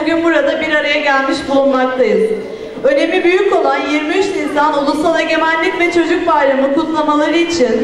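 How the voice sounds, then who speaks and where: An extremely high-pitched woman's voice at a moderate pace, fairly even in intonation, with light background noise and audible room echo. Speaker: event host. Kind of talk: formal ceremony speech. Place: hall. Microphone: handheld.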